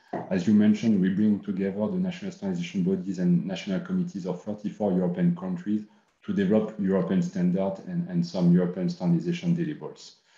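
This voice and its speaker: With hardly any pauses, a man rushes along at a very fast pace amid audible room echo. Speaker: standardization official. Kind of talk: panel discussion. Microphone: webcam.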